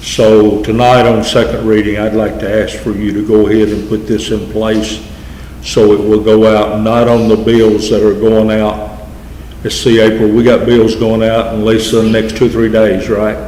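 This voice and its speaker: With a Southern US accent, a man talks at a moderate pace in a fairly low pitch and monotone, flat intonation, amid audible room echo and noticeable background noise. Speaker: mayor chairing city council. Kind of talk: council meeting presentation. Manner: halting, with fillers.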